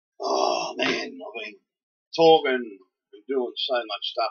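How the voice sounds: A man's put-on character voice, raspy and hoarse, at a very slow pace with big swings in loudness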